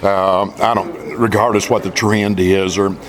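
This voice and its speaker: Amid noticeable background noise and audible room echo, a man with an American accent speaks at a moderate pace in a fairly low, monotone, flat voice. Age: 60s. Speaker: country singer. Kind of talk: interview.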